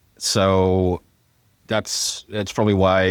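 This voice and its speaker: A man speaks at a fairly low pitch with fairly even intonation. The recording is very clean, with a silent background and a dry, close sound with no echo. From Hawaii, born in Fiji. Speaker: software engineer and startup tech leader. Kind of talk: casual chat.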